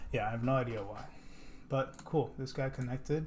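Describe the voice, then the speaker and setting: Somewhat breathy, a man speaks at a medium pitch and moderate pace with ordinary pitch variation and audible room echo. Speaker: software developer. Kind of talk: coding tutorial. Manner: casual.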